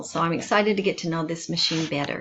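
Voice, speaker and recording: A woman with a fairly low pitch speaks at a fairly quick pace with ordinary pitch variation, against noticeable background noise. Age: 60s. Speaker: student. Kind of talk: self-introduction video.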